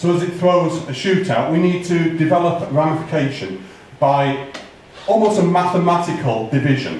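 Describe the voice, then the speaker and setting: Loud and high-pitched, a man talks at a moderate pace with ordinary pitch variation, with audible room echo and noticeable background noise. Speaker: bonsai expert giving tree critique. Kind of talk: live critique talk to audience. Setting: hall with audience, museum.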